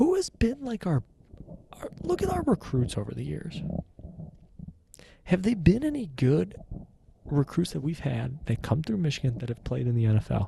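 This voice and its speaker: A soft-spoken man, with long, frequent pauses. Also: moderate pace. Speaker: sports fan vlogger. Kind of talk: casual solo reaction monologue. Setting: home basement. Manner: halting.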